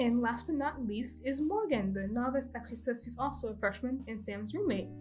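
A woman speaking at a very fast pace, with music in the background. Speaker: animation student. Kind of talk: casual commentary over speed paint. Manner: stutter.

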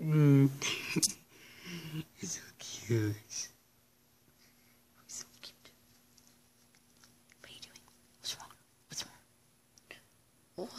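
The speaker whispers very slowly, stopping often for long pauses. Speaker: dog owner filming pet. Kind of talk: affectionate talk to a pet. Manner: whispered. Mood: affectionate, playful. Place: home room. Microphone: phone near.

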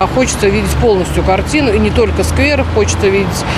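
Over loud background noise, the speech comes at a very fast pace with a dry sound and no echo. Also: woman. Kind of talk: interview answer. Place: garden. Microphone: handheld.

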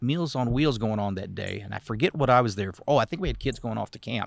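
This man talks very fast with an American accent, at a medium pitch and with lively intonation. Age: 60s. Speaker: city council candidate. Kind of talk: interview. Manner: halting.

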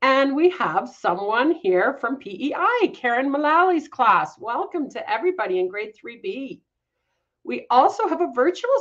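Over a quiet background, a woman with a Canadian accent speaks fairly slowly in a high voice, enthusiastic and upbeat, with very wide pitch swings. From Canada. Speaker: executive director of an agriculture education charity, event host. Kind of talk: live educational broadcast for school classes. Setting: live video stream. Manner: enthusiastic, upbeat. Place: home room.

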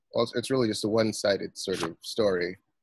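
Man's voice in a quiet background, dry with no echo. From US. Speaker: novelist; guest. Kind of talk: interview. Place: home room. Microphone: video call.

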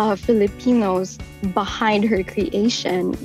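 A woman at a medium pitch and a fairly slow pace, dry sound with no echo, faint music in the background. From Philippines. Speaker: voice actor. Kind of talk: interview answer. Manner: casual, chatty. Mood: warm, happy, proud. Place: booth. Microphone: studio mic.

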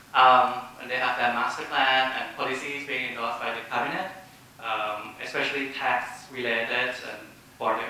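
A man at a moderate pace, with strong room echo and light background noise. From Thailand. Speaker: social enterprise founder. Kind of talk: panel presentation. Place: hall.

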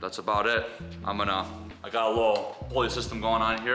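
A man talks at a very fast pace. Clear music plays behind him. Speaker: outdoor DIY vlogger. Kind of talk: tutorial. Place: garage. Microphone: camera far.

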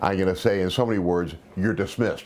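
This is a man's voice. His pitch is very deep and low. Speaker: self-defense instructor. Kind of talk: interview answer. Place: office.

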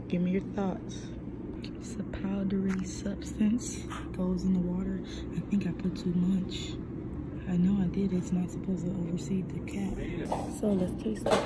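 A woman's moderate-paced speech with long, frequent pauses amid loud background noise. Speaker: vlogger. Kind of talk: casual vlog chat. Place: office. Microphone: phone near.

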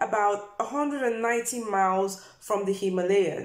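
A woman speaks against a quiet background, with audible echo in the room. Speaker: health vlogger. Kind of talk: informative vlog talk. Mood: warm and friendly. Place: home room. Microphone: phone near.

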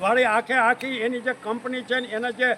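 A man's extremely high-pitched, raised and projected voice over noticeable background noise. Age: 70s. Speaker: farmer leader, activist. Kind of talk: protest statement to press. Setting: outdoors. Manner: animated.

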